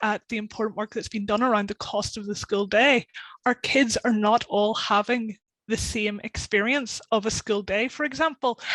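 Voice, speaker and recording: A woman with a Northern Irish accent speaks at a fairly high pitch and moderate pace, with fairly even intonation and a dry, close sound with no echo. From Northern Ireland. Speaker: policy campaigner. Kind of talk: webinar panel discussion.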